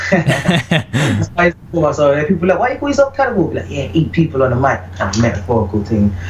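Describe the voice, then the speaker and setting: Over noticeable background noise, a man with a British accent and a fairly high pitch talks at a very fast pace. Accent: British accent comes through in vocals. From UK. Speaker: reggae vocalist. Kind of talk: interview.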